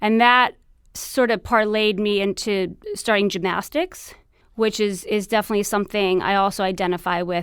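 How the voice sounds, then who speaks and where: A woman with an American accent speaks at a moderate pace and medium pitch, with fairly even intonation. The recording is very clean, with a silent background. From New York City, Queens. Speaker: TV producer, expectant mother. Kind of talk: interview conversation.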